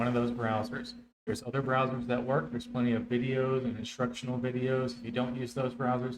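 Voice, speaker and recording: A man at medium pitch, with monotone, flat intonation and a fairly quick pace, plus audible room echo. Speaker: streamer and tutorial host. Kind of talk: tutorial. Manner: fast.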